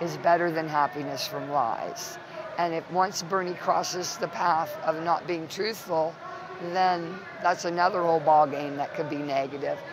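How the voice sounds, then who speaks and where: A woman with an American accent speaks at a moderate pace in a fairly low pitch, her intonation fairly even, with noticeable background noise and audible room echo. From Ohio. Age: 60s. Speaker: political activist. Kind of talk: interview. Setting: political convention. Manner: impassioned.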